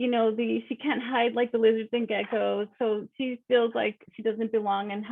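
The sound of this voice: The clip features an unforced reading voice with fairly even intonation.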